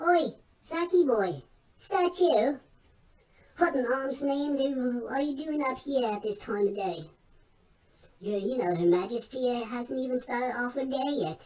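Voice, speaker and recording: A female-sounding voice puts on a character voice, pitched high for a woman, moving at a moderate pace with long, frequent pauses. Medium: read story. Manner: folksy, colloquial.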